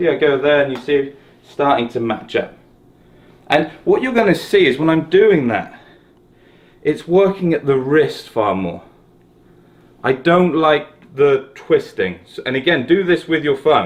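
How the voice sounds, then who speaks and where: The speech is fairly slow, with lively intonation and long, frequent pauses. It is delivered in a southern English accent. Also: man, fairly high pitch for a man. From South West England, Exeter. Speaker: golf coach. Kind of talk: tutorial. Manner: casual, conversational.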